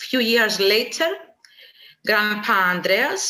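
Very slow speech in a Greek accent with ordinary pitch variation. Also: woman. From Cyprus, Nicosia. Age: 30s. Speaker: beekeeper and agronomist. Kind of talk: personal testimony. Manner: halting.

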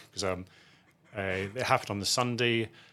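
A man with a Scottish accent. His pitch sits fairly low. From Scotland, outside Edinburgh. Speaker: asset management chief executive. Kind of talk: interview.

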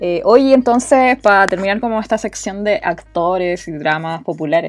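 Music plays in the background as the speaker talks with a Chilean accent. The pace is fairly slow and the intonation lively. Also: woman. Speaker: podcast host. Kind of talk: casual chat.

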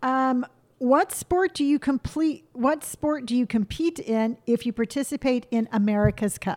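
Recorded dry and close with no echo, a woman speaks at a high pitch. Her intonation is lively and her pace moderate. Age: 50s. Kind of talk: casual chat.

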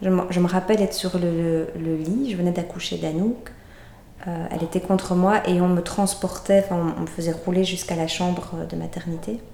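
A woman speaks with fairly even intonation and a fairly low pitch, keeping a moderate pace against noticeable background noise. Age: 30s. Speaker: doula. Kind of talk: birth story testimony. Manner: hesitant, many fillers.

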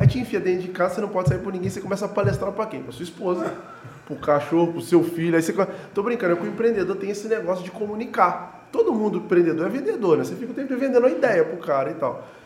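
Over noticeable background noise, a man talks very fast at a high pitch with ordinary pitch variation and big swings in loudness. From Juiz de Fora, Minas Gerais, Brazil. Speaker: event organizer and entrepreneur. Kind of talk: casual interview chat.

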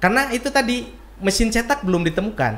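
This man speaks at a fairly quick pace. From Bandung, West Java, Indonesia. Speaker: author and bookseller. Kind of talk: casual interview. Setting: in person.

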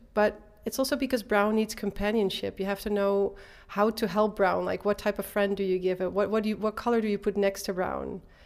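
With a Dutch accent, a woman speaks fairly quickly at medium pitch in a monotone, flat intonation. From Netherlands, Eindhoven. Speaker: artist and design teacher. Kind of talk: interview. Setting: exhibition space.

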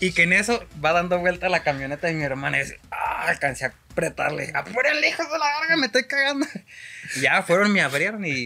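Someone with a Mexican accent talks at a fairly quick pace amid noticeable background noise. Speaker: podcast co-host. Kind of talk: casual chat over beers.

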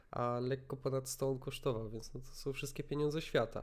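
A man's ordinary speaking voice at a medium pitch and a fairly quick pace. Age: 20s. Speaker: podcast host. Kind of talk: casual chat.

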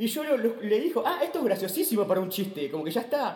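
Over noticeable background noise, a man talks in a Rioplatense accent. His pitch is high and swings very widely. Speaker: stand-up comedian. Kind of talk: casual chat.

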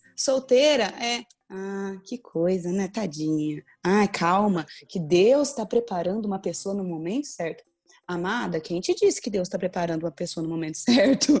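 Over music in the background, a woman speaks at a moderate pace and medium pitch with lively intonation. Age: 20s. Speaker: pastor and teacher. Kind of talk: casual chat.

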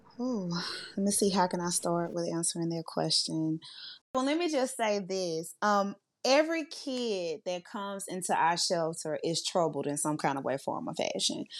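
Speaking in a Louisiana accent, a woman uses lively intonation at a medium pitch and moderate pace. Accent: US Southern (Louisiana). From Louisiana (Monroe). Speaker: youth services director. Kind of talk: interview.

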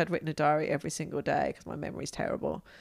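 A woman's very deep, low voice with vocal fry at a very fast pace, on a very clean recording with a silent background. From England. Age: 50s. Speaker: adventurer. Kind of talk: casual interview.

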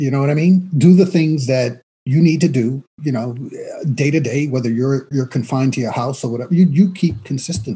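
The voice moves at a fairly quick pace, somewhat breathy and dark and mellow in tone, with ordinary pitch variation. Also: man, fairly high pitch for a man. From New York City, the Bronx. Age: 40s. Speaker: actor. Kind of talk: casual chat.

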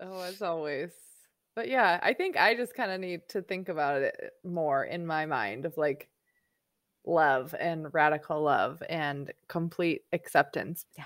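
A woman with an unremarkable speaking voice talks fairly slowly at a fairly low pitch, with lively intonation and big swings in loudness, on a very clean recording with a silent background. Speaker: podcast host. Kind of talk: casual interview.

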